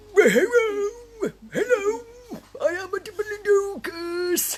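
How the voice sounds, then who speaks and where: A put-on character voice, extremely high in pitch, at a very slow pace. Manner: playful, loud.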